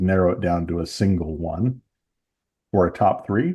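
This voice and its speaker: A man's very deep, low voice with an American accent, dark and mellow in tone, somewhat breathy, over a quiet background. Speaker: podcast host. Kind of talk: casual chat.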